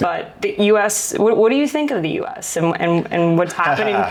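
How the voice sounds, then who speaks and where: Noticeable background noise and audible room echo accompany a voice with an American accent speaking at a moderate pace. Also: woman. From United States. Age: 20s. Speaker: podcast host. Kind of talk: interview conversation. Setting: in Cape Town, South Africa.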